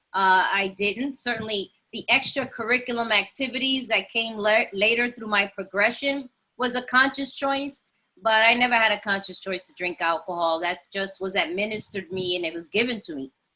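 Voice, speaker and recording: At a moderate pace, a woman speaks in a fairly high voice. Her pitch moves in an ordinary way. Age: 50s. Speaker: recovering alcoholic sharing her story. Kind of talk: testimony. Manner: animated.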